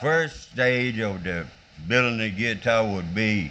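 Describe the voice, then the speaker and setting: This man's fairly low voice moves with lively intonation. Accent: Southern US. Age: 80s+. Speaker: guitar maker, artist. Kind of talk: documentary interview answer.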